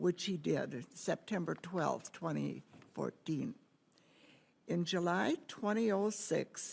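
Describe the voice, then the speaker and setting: Speaking very slowly in an American accent, a woman with a fairly low pitch uses ordinary pitch variation and some vocal fry. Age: 80s+. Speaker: homeowner facing foreclosure. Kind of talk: testimony. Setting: Senate forum, microphone. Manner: halting.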